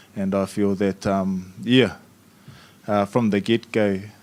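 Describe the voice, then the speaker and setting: Delivery comes at a very slow pace with monotone, flat intonation. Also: man. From New Zealand, Maori community. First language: Maori. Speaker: youth panelist. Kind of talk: panel discussion. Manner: halting.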